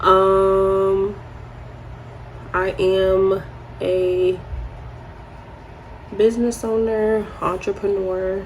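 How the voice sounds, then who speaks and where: A soft-spoken woman with an American accent talks at a very slow pace, with long, frequent pauses and a medium pitch. Her intonation is monotone and flat, with audible room echo and noticeable background noise. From New York. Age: 20s. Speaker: beauty vlogger. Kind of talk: casual chat.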